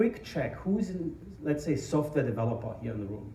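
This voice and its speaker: A man speaks at a moderate pace, with audible echo from the room. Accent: strong German. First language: German. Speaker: tech company founder and conference speaker. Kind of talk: conference talk. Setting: stage with audience. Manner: hesitant, many fillers.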